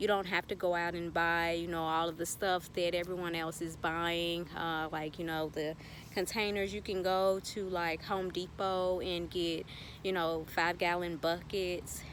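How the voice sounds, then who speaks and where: A woman with a Southern US accent speaks in a fairly low voice. Her intonation is monotone and flat, at a moderate pace. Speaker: gardening YouTuber. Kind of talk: tutorial. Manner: casual, filler-heavy.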